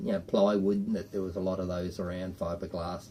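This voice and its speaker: This man speaks with an Australian accent. His pitch varies in an ordinary way. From Australia (Queensland). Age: 60s. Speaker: boat owner telling family stories. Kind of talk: casual storytelling interview.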